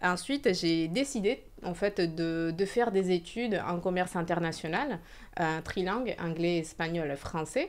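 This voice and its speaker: Fairly slow speech from a woman with a slight Spanish accent and a fairly low pitch. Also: ordinary pitch variation. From Venezuela. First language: Spanish (speaking French). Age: 30s. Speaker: entrepreneur. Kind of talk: interview. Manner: hesitant.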